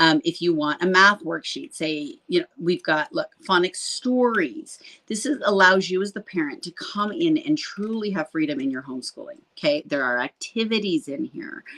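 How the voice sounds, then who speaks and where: A woman at a medium pitch speaks with very wide pitch swings and hardly any pauses, her bright, sharp tone recorded dry and close with no echo. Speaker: homeschool program host. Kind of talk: live stream product demo. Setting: live stream. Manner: fast; animated.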